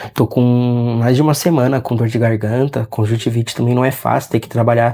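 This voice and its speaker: Fairly quick and flat, a man's speech stays in a monotone throughout. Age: 30s. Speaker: vlogger. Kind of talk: personal vlog. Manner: halting.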